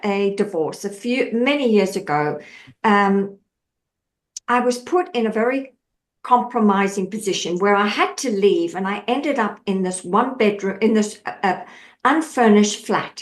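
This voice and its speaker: A woman with an Australian accent at a fairly slow pace. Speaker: mindset coach. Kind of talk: podcast interview. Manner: animated.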